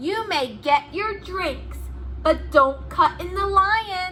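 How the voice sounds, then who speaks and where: Against clear background noise, a woman does a put-on character voice very slowly, with big swings in loudness. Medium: read story. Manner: cheerful, matter-of-fact.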